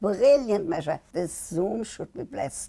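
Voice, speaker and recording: A woman's medium-pitched voice, dark and mellow in tone and somewhat breathy, at a fairly slow pace with very wide pitch swings. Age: 80s+. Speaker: sex therapist and media personality. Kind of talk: interview answer.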